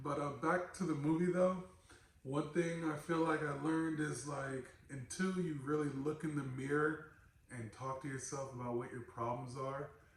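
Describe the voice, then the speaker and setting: A man with a fairly high pitch and fairly even intonation keeps a moderate pace amid audible room echo and noticeable background noise. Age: 30s. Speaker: podcast host. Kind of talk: casual chat.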